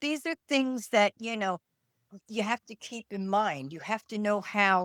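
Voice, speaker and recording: A woman with a New York accent talks at a fairly slow pace, her medium pitch rising and falling by an ordinary amount. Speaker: retired nurse and podcast co-host. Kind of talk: casual chat. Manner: loud; can sound harsh.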